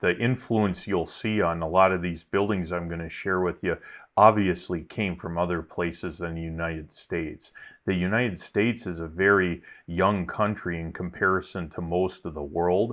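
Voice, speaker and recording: A man with a Wisconsin accent speaks at a moderate pace in a very deep, low voice. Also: fairly even intonation. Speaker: YouTuber. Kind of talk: casual vlog narration. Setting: outdoors.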